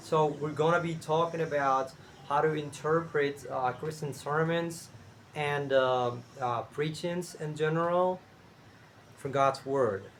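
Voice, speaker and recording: A man's very slow delivery in a Spanish accent, pitched fairly high. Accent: Spanish-speaking accent in English. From Cuba. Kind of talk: casual talk to camera. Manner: hesitant, many fillers.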